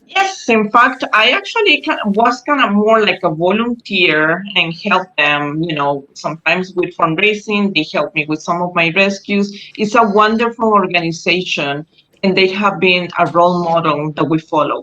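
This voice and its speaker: Speaking with a Spanish accent, a woman keeps a moderate pace at a medium pitch. Her intonation is lively. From Costa Rica. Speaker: animal rescuer. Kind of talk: interview. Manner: halting.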